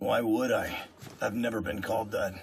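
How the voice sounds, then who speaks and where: Using a cartoonish character voice, a man speaks at a moderate pace in a raspy, medium-pitched tone. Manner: terse, flat.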